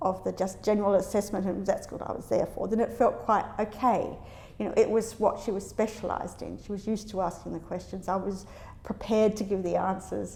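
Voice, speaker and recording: With vocal fry and a dark, mellow tone, a woman of medium pitch talks at a fairly quick pace with fairly even intonation. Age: 60s. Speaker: academic. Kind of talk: interview answer.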